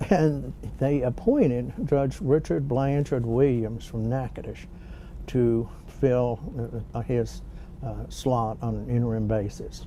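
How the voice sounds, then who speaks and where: Amid audible room echo, a man with a Louisiana accent speaks at a very slow pace. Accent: Southern US (Louisiana). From US South (Shreveport, Louisiana). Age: 70s. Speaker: retired bankruptcy judge. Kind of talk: oral history interview. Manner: measured, with frequent fillers.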